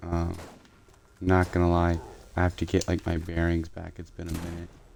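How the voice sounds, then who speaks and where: A soft-spoken man with a very deep, low pitch talks at a moderate pace in a monotone, flat intonation, with big swings in loudness. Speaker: gaming streamer. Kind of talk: live gameplay commentary. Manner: halting, many fillers.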